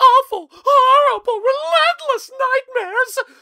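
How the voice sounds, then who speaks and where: A woman's put-on character voice, squeaky and extremely high, with lively intonation and dry, close sound with no echo. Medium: read story. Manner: melodramatic.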